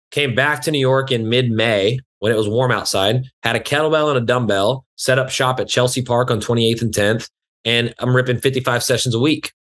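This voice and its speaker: Speaking at a fairly quick pace with very even loudness, a man with an American accent talks over a quiet background. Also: fairly even intonation. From West Texas (Lubbock area); Texas. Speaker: fitness trainer; podcast guest, fitness instructor. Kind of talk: casual interview chat. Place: home room. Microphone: video call.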